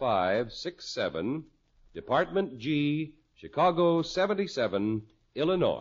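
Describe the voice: A man speaks at a medium pitch and a slow pace. His pitch swings widely.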